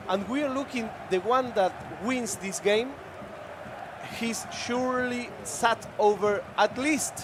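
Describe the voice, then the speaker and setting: The speaker has a Spanish accent and takes long, frequent pauses. Noticeable background noise runs underneath. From Argentina. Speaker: esports commentator. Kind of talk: live commentary.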